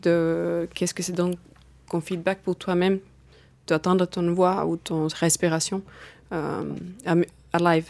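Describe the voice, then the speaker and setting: With a slight Finnish accent, a woman of fairly low pitch speaks in a flat monotone at a fairly slow pace, in a very clean recording over a silent background. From Finland. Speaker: circus artist. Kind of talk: studio interview. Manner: hesitant, non-native phrasing.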